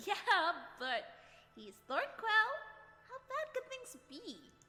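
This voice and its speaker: A put-on character voice speaks at an extremely high pitch. The pace is fairly slow. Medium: audio drama. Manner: breezy.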